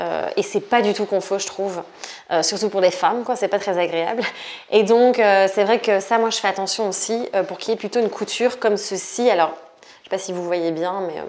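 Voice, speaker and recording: A woman talks at a moderate pace, her medium pitch held in fairly even intonation. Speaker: yoga and movement teacher, vlogger. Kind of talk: casual vlog talk to camera. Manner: hesitant, many fillers (euh).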